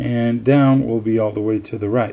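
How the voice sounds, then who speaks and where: There is noticeable background noise as a man speaks at a medium pitch with fairly even intonation. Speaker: RC hobbyist tutorial maker. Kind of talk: tutorial. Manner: hesitant, many fillers.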